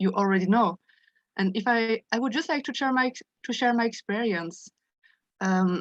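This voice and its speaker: A woman with a French accent, ordinary pitch variation, and a dry, close sound with no echo. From France. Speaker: study group participant. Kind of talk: sharing personal experience in group discussion. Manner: halting, many repetitions and self-corrections.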